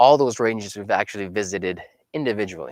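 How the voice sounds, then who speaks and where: A man talks at a medium pitch. The sound is dry and close, with no echo. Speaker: fitness instructor. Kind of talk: live workout class. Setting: livestream from home.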